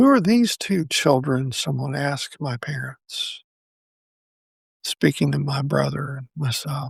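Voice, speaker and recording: This man sounds dry and close, without any echo. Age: 60s. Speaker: podcast host. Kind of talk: personal reflective monologue. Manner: halting.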